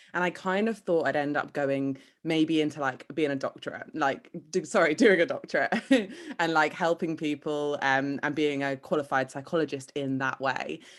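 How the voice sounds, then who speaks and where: In a very clean recording with a silent background, a woman with a British accent and a very deep, low pitch talks at a moderate pace with ordinary pitch variation. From UK. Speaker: manifestation coach. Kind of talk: podcast interview.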